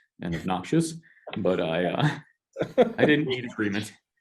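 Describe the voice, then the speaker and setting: The intonation here is lively. A man delivers it at a fairly quick pace. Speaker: pastor. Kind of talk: casual chat. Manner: loud.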